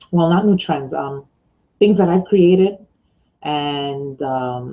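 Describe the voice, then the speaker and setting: Speaking with an American accent, the voice moves at a very slow pace with ordinary pitch variation. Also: woman, very deep, low pitch for a woman. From New York. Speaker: online business mentor and blogger. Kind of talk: casual video vlog. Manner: loud; hesitant with many fillers.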